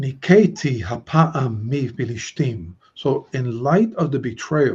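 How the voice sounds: Intonation rises and falls in a lively way. The voice is a natural reading voice.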